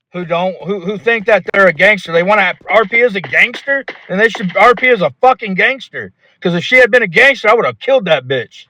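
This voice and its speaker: A man projects a raised voice at a high pitch and fairly quick pace, with lively intonation and a dry, close sound with no echo. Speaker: roleplay gamer. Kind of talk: heated debate. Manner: loud.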